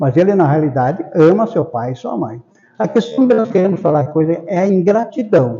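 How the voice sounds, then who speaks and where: Here a man speaks at a high pitch. His pace is moderate, and his pitch swings very widely. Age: 80s+. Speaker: spiritist lecturer. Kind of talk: public lecture. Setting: spiritist center hall with audience.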